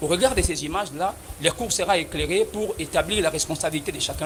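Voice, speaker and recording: A man speaks at a fairly quick pace with a high pitch and lively intonation. Noticeable background noise sits behind him. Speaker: defense lawyer. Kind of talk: courtroom pleading. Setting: courtroom. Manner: formal; loud.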